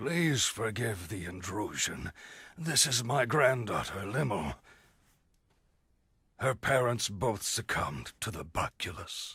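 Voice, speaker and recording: A man puts on a raspy character voice at a medium pitch, with very wide pitch swings. He talks at a fairly slow pace, with long, frequent pauses. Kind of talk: video game cutscene dub. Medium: short film. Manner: formal, archaic wording.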